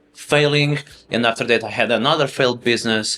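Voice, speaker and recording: With a Portuguese accent, a man speaks at a medium pitch. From Portugal, Lisbon. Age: 30s. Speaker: finance educator. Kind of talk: interview conversation.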